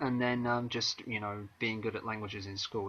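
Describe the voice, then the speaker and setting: A man with a southern English accent speaks in a monotone, flat way. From southern England, Maidstone, Kent. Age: 30s. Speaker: author and singer-songwriter. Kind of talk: interview. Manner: hesitant, many fillers.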